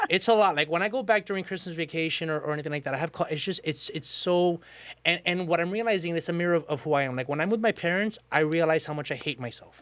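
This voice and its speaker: Loud and very fast, a man with a Cuban accent speaks at a high pitch with ordinary pitch variation. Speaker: podcast host. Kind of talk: casual chat.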